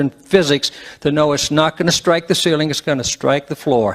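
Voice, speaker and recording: Music plays behind a man whose intonation stays fairly even. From West Virginia. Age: 60s. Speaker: public meeting speaker. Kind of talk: public comment at a meeting. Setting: public meeting with microphone.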